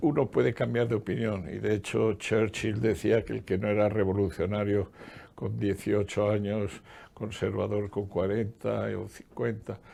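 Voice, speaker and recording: A man speaks fairly slowly with vocal fry. His voice is fairly low and has a dark, mellow tone. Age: 80s+. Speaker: economist and former public official. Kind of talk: interview.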